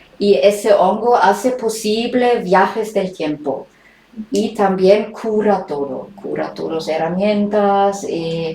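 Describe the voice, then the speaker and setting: A woman with a German accent at a very slow pace, with noticeable background noise and audible room echo. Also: medium pitch for a woman, ordinary pitch variation. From Germany. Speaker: writer and documentary maker. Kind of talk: interview. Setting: remote interview from home. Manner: halting, many hesitations.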